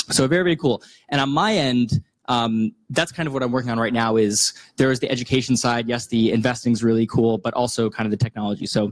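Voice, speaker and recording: The background is quiet. Against it, a man speaks at a very fast pace. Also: ordinary pitch variation. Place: hall. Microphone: handheld.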